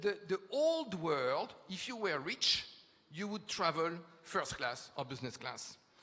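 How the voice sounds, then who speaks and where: A man speaks fairly slowly in a French accent. His tone is bright and sharp. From France. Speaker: futurist speaker. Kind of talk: conference talk. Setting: stage with audience. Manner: hesitant fillers.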